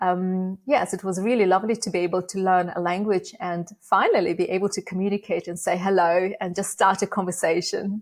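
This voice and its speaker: In a very clean recording with a silent background, a woman of medium pitch talks at a fairly quick pace with hardly any pauses and a monotone, flat intonation. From Uzbekistan (Bukhara). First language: Russian. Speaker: AI education nonprofit founder. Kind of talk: interview.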